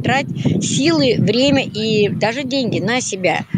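A woman speaks with a dry sound and no echo over loud background noise. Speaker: volunteer. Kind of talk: interview. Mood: warm, encouraging. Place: street. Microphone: phone near.

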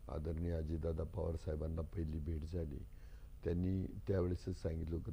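A somewhat breathy, dark, mellow tone with audible room echo. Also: man. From Akole taluka, Ahmednagar district, Maharashtra. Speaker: politician and doctor. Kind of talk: interview.

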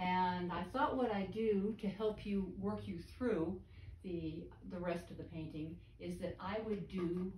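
There is vocal fry in a woman's voice as she speaks at a fairly slow pace. Light background noise and audible room echo are present. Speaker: painting instructor. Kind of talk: tutorial. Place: studio. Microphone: camera far.

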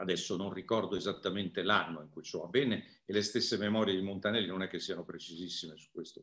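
Against a quiet background, a man with a fairly low pitch rattles along at a very fast pace with hardly any pauses, his intonation fairly even but his loudness swinging widely. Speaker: musicologist lecturer. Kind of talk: lecture. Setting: video call. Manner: calm. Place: home room. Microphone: video call.

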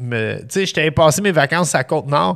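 Lively intonation marks this man's fairly high voice. He talks at a moderate pace. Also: quiet background. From Montreal (east end), Quebec. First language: English (speaking French). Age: 40s. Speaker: chef; podcast guest. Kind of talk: casual chat. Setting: studio. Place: studio. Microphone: studio mic.

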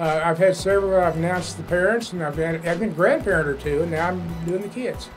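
Against clear music in the background, a high-pitched man with an American accent talks in a relaxed tone with ordinary pitch variation. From Oklahoma, United States. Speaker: high school sports PA announcer. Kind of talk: interview answer. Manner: folksy, relaxed, good-humored. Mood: warm, gently humorous.

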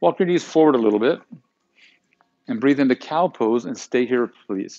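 A man talks in a soothing, calm tone with ordinary pitch variation. Faint music plays in the background. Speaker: yoga instructor. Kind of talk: guided yoga class, calm cueing of poses and breath with brief reflective asides. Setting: live online broadcast to home viewers. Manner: soothing, calm and unhurried, giving short instructions in rhythm with breath; warm, conversational and encouraging, with playful words like yumminess. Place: gym.

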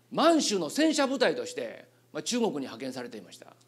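This man's tone is animated. He keeps to a moderate pace. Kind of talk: lecture. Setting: stage with audience. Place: hall. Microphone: handheld.

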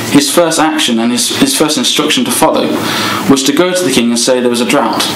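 A man speaks very fast over noticeable background noise. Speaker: speaker. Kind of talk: sermon.

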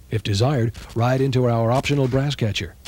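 A man with a normal speaking voice talks at a medium pitch and a moderate pace, his intonation fairly even. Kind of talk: vintage TV commercial, scripted sales pitch. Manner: polished, authoritative announcer delivery; brisk, confident, hard-sell tone.

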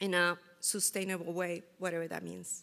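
A woman speaks with a Spanish accent at a fairly slow pace. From Costa Rica. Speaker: food security researcher; presenter. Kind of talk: conference presentation. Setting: stage with audience. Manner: halting. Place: hall.

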